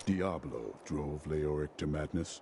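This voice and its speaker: A man's put-on character voice, very deep and low in pitch, at a fairly slow pace over clear background noise. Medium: video game. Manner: stern, terse.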